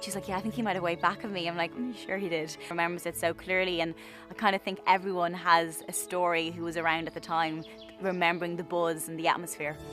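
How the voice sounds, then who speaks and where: A woman with an Irish accent, fairly low in pitch, talking very fast with fairly even intonation over background music. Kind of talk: interview answer.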